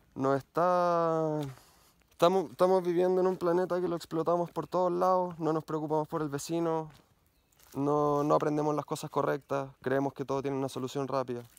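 With a Chilean accent, a man speaks at a fairly high pitch and fairly even intonation, the sound dry with no echo. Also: moderate pace. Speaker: mountain bike YouTuber. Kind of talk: personal vlog monologue. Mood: earnest, reflective. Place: forest. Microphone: phone near.

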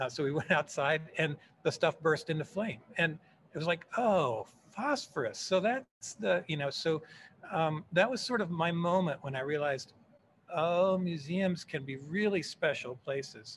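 Over light background noise, a man speaks fairly slowly in a fairly high voice with lively intonation. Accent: American. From Texas, Fort Worth; Texas. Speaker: museum education director; guest. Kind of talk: casual interview conversation. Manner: hesitant with many fillers. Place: office. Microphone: video call.

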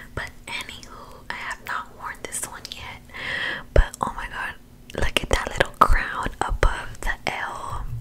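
A woman whispers at a fairly slow pace, her loudness swinging widely. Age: 20s. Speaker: ASMR creator. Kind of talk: ASMR show-and-tell. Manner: soft-spoken. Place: home room. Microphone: studio mic.

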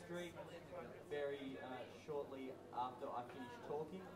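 Over loud background noise, a man speaks at a fairly slow pace. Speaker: band member or host on stage. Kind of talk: stage announcement. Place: bar.

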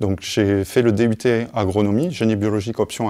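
Against a quiet background, a man with a fairly low voice and a dark, mellow tone speaks at a moderate pace. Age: 30s. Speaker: GIS manager, former student. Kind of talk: testimony. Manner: halting, many hesitations. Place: hall.

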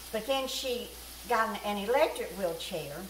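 A woman with a Southern US accent speaks in a warm tone at a moderate pace with lively intonation, over noticeable background noise. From US South. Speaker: cooking vlogger. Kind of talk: homespun storytelling aside while cooking, recounting caring for an elderly woman. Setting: home kitchen. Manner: chatty and folksy, with frequent fillers; warm, meandering anecdotal pace with small repetitions. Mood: warm, chatty. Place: kitchen.

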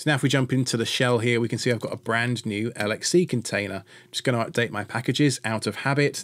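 With fairly even intonation, a man gets through his words at a fairly quick pace. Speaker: tech tutorial host. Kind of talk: tutorial.

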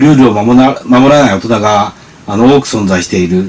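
A man speaks at a fairly quick pace and a medium pitch. Light background noise sits behind him. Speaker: radio co-host. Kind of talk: radio talk show. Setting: radio studio. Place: studio.

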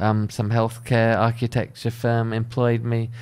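A man speaks with a British accent at a medium pitch. The background is quiet. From UK. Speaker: architect. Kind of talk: casual monologue. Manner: casual, hesitant with fillers. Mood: relaxed, conversational. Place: home room. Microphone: studio mic.

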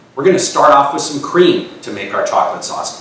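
A man's fairly brisk speech carries light background noise and an audible echo from the room. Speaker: chef instructor. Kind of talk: tutorial. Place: kitchen.

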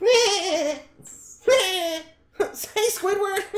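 Put-on character voice pitched extremely high. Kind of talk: cheerful, high-pitched greeting.

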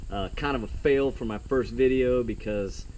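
Over light background noise, a man talks at a moderate pace. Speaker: kayak fishing vlogger. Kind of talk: casual vlog chat. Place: garden. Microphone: camera far.

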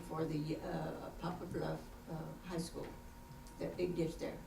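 In an American accent, a woman speaks at a moderate pace with a fairly low pitch, over noticeable background noise and audible room echo. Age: 80s+. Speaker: resident speaking at council meeting. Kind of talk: public comment at council meeting. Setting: city council meeting. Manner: halting.

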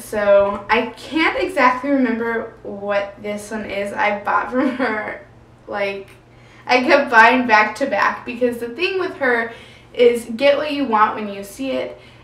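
A woman at a fairly slow pace, with big swings in loudness and audible room echo. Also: ordinary pitch variation. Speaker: book vlogger. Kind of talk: casual vlog chat. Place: home room.

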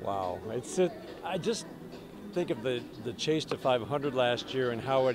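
Clear music plays in the background as a man talks with lively intonation in a dry sound with no echo. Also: moderate pace. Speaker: baseball radio announcer. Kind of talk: sports radio interview answer. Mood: warm, enthusiastic, smiling. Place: stadium. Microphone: handheld.

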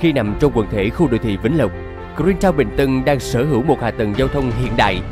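Music plays in the background as a man speaks with a Southern Vietnamese accent. His intonation is lively. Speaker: voice actor. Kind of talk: TV commercial read.

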